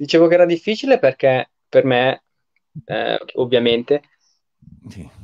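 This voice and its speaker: At a fairly slow pace, a man speaks with big swings in loudness and long, frequent pauses. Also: dry, close sound with no echo. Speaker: live-stream host. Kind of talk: casual online interview. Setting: video call.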